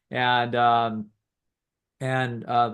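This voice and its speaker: A man talks at a medium pitch. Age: 60s. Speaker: psychologist. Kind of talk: casual chat. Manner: halting.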